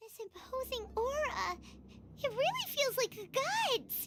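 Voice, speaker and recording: In a squeaky put-on character voice with an extremely high pitch, the speaker goes at a fairly slow pace. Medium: video game. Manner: excitable.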